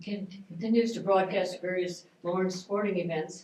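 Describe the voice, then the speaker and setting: Amid noticeable background noise and audible room echo, a woman talks at a moderate pace with a fairly low pitch and monotone, flat intonation. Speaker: retired school librarian, historical society board member. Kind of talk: reading an introduction. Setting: event room with audience.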